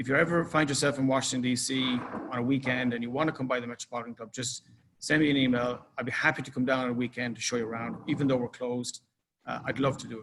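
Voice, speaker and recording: A man with an Irish accent talks at a very fast pace, with big swings in loudness. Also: medium pitch for a man, fairly even intonation. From Ireland. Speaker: club manager. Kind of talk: presentation. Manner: casual.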